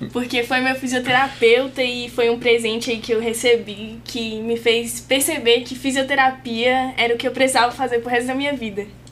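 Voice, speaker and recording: With noticeable background noise behind it, the voice moves at a moderate pace in a monotone, flat intonation with hardly any pauses. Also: woman, high pitch for a woman. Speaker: physiotherapy student. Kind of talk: casual chat.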